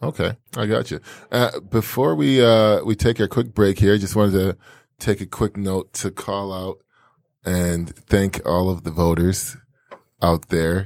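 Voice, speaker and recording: At a fairly slow pace, a man speaks in a fairly low voice with ordinary pitch variation on a very clean recording with a silent background. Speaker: podcast host. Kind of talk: casual interview chat.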